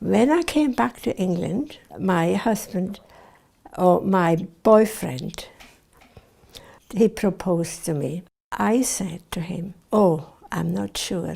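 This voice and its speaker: A woman's dark, mellow tone at medium pitch, with lively intonation and vocal fry, at a very slow pace with long, frequent pauses, in a very clean recording with a silent background. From Switzerland. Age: 80s+. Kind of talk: oral history interview.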